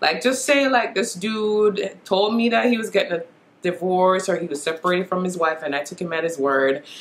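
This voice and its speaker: A woman with a Jamaican accent, lively intonation and a moderate pace. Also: medium pitch for a woman. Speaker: beauty vlogger. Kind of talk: casual talk to camera. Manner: chatty. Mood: opinionated, mildly exasperated. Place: home room. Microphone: camera far.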